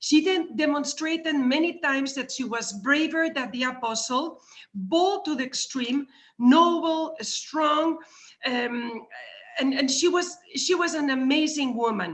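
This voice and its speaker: Words come at a fairly slow pace. They are spoken with a Spanish accent. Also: woman, high pitch for a woman, ordinary pitch variation. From Spain, Madrid. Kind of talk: talk at a virtual conference. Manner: halting, with many repeated words.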